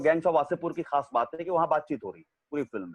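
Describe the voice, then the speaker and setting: This man is recorded with a dry, close sound and no echo. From Arrah, Bhojpur, Bihar. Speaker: actor. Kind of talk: interview answer.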